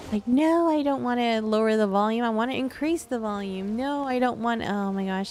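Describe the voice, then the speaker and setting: A woman with a fairly high voice mumbles at a fairly quick pace, her pitch varying in an ordinary way. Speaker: video game streamer. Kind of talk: casual chat. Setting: live stream. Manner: mumbling; halting.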